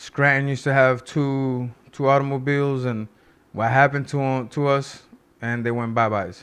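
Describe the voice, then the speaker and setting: A man's medium-pitched voice with a Spanish accent and fairly even intonation. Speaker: political commentary youtuber. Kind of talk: casual commentary. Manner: halting.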